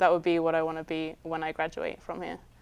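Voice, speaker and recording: With a southern English accent and fairly low pitch, a woman speaks on a very clean recording with a silent background. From southern England, Guildford. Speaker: film student and cinematographer. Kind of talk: interview answers. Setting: studio.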